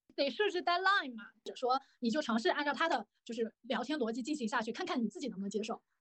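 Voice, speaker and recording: Racing along at a very fast pace with hardly any pauses, a woman speaks in a high pitch with very wide pitch swings. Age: 20s. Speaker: guest sharing blind-date experiences. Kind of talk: casual chat.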